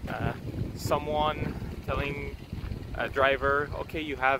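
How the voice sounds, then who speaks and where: Very slow speech in a dry recording with no echo and noticeable background noise. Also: man. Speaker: motorsport vlogger. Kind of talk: casual vlog chat. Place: street. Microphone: earbuds.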